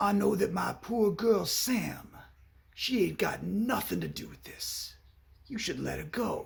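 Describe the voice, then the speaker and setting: A man's raspy put-on character voice at a fairly slow pace, with big swings in loudness. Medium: short film. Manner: oddly crooning, stilted.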